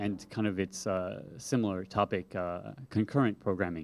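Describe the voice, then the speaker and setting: Over a silent background in a very clean recording, a man with an ordinary speaking voice talks at a fairly low pitch with ordinary pitch variation. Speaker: software developer and conference speaker. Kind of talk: conference talk.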